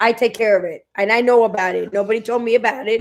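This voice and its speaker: The speaker is a woman with a New York accent. Her pitch is fairly high. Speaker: restaurant owner and co-host. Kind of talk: casual chat. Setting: live stream. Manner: loud.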